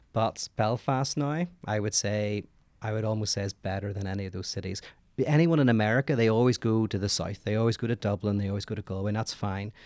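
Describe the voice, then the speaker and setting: A man talks at a very fast pace in a fairly low pitch. He has a Northern Irish accent, and the sound is dry and close with no echo. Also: ordinary pitch variation, very clean recording, silent background. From Northern Ireland. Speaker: philosopher. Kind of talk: casual chat.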